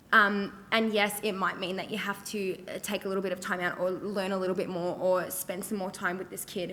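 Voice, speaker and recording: A loud woman with an Australian accent, fairly quick and bright, sharp in tone. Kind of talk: panel discussion. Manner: many fillers.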